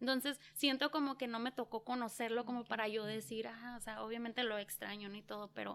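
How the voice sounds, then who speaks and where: A woman speaks at a fairly quick pace with hardly any pauses, in an unremarkable speaking voice. Her pitch is fairly high and her intonation fairly even. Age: 30s. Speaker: small business owner and mother. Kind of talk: interview.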